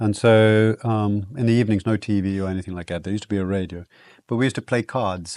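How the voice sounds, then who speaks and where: Against a quiet background, a speaker with a South African accent talks at a very fast pace with fairly even intonation. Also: man, fairly low pitch for a man. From southern Africa (South Africa/Botswana), then Guyana. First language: Afrikaans. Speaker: wilderness guide. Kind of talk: casual chat. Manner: hesitant, many fillers.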